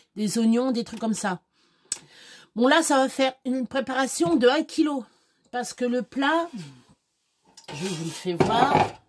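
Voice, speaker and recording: Her high-pitched voice has lively intonation, and the woman leaves long, frequent pauses. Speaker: home cook vlogger. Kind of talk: cooking tutorial. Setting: home kitchen. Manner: casual, hesitant.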